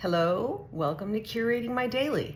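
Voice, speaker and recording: A woman speaks with lively intonation. Background noise is noticeable. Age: 60s. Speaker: vlogger sharing health journey. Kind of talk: casual vlog monologue. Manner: animated.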